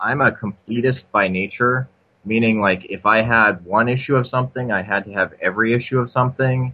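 A man of medium pitch uses an ordinary speaking voice and moves at a moderate pace. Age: 40s. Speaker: comics history podcaster. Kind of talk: casual chat. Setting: remote call.

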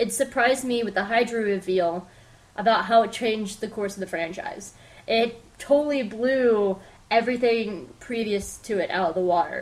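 A woman's plain, everyday voice at a fairly high pitch, with ordinary pitch variation and a moderate pace. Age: 20s. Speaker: podcast host. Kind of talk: solo pop-culture review.

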